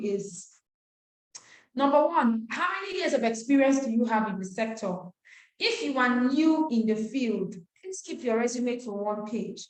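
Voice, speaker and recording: Audible room echo surrounds a woman speaking at a moderate pace with a high pitch and lively intonation. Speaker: nonprofit trainer. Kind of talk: webinar lecture.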